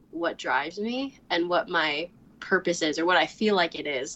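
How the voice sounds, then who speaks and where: A woman speaks in an ordinary speaking voice. Her pitch is fairly low and her pace fairly slow. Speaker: recent college graduate. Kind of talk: interview.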